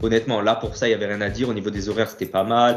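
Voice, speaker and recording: A man is talking at a medium pitch. Background music can be heard. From Corsica, Ajaccio. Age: 30s. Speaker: bodybuilder and fitness coach. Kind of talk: casual interview.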